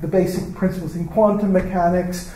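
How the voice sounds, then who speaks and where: A man with an American accent speaks at a high pitch amid noticeable background noise and audible room echo. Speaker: professor. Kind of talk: lecture. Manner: halting.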